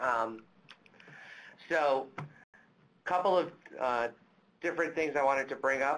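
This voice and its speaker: Talking at a fairly slow pace, a man uses a fairly high pitch, ordinary pitch variation and very even loudness. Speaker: webinar moderator. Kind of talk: webinar moderation.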